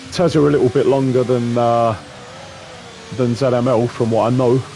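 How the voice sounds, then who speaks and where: A man talks with ordinary pitch variation and very even loudness. Music plays in the background. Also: medium pitch for a man, moderate pace. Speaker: sim racing commentator. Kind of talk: live commentary.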